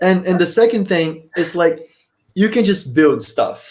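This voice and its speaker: At a fairly slow pace, a man speaks with a Portuguese accent. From Brazil. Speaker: podcaster. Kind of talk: casual interview chat.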